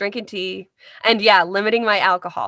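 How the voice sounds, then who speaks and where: In a very clean recording with a silent background and a dry, close sound with no echo, a woman's voice comes through. She speaks at fairly high pitch with a bright, sharp tone in a Midwestern US accent. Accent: US Midwest. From US Midwest, Carmel, Indiana. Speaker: voice actor. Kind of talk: interview.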